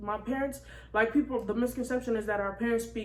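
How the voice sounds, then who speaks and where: An unremarkable speaking voice from a woman, fairly high in pitch, with ordinary pitch variation. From Senegalese-American, raised in the US. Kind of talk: casual talk to camera.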